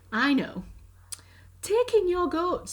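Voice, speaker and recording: A woman's put-on character voice, extremely high in pitch with very wide pitch swings. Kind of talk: bedtime story. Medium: read story. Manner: calm, measured.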